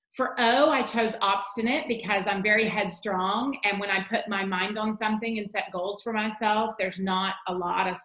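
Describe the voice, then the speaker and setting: Delivered at a moderate pace with hardly any pauses and fairly even intonation, the speech carries audible room echo and noticeable background noise. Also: woman, fairly high pitch for a woman. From Virginia. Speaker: teacher. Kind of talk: tutorial.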